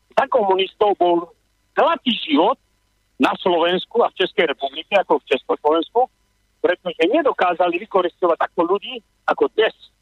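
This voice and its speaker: A man's high-pitched voice at a moderate pace, with lively intonation and very even loudness. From Slovakia. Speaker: radio caller, emigrant businessman. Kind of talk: phone-in opinion. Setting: phone call.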